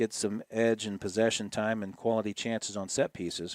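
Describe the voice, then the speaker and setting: A man's medium-pitched voice with an American accent at a moderate pace, a plain, everyday voice, dry and close with no echo, on a very clean recording with a silent background. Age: 60s. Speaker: play-by-play broadcaster. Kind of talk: live commentary. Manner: casual, with many fillers.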